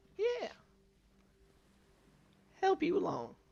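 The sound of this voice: Pitch sits extremely high for this man. He is doing a put-on character voice.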